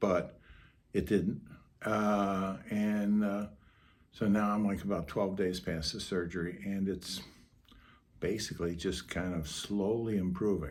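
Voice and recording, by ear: A man speaks slowly in a low, raspy voice with a slightly mellow tone. His intonation stays fairly even.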